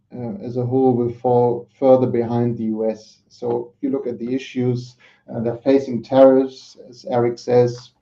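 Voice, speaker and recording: This man speaks with a German accent at a moderate pace, leaving long, frequent pauses. His medium-pitched voice stays monotone and flat while its loudness swings widely. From Germany. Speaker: market analyst. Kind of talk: panel discussion. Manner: hesitant, many fillers.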